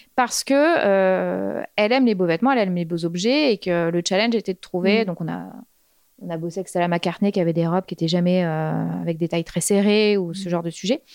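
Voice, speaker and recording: A woman with a plain, everyday voice speaks at a fairly low pitch and a fairly quick pace, with ordinary pitch variation. The recording is very clean with a silent background and sounds dry and close with no echo. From Normandy, France. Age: 30s. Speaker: fashion stylist. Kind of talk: casual chat.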